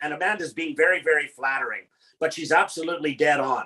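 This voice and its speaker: The voice has a bright, sharp tone and a Canadian accent. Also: man. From Canada. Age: 60s. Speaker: motivational speaker. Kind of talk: panel talk.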